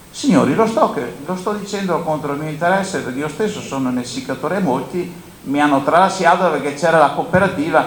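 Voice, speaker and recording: A man with a fairly high pitch talks at a fairly quick pace, his pitch varying in an ordinary way. Noticeable background noise and audible room echo are present. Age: 70s. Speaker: grain dryer operator and agricultural panelist. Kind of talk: conference panel talk. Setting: conference with audience.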